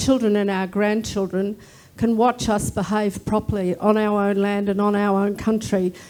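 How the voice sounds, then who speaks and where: A woman with an Australian accent has a fairly high pitch, a dark, mellow tone and a monotone, flat intonation. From Australia, First Nations. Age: 60s. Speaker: Senate candidate. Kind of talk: political debate. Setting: live debate at a club, streamed online.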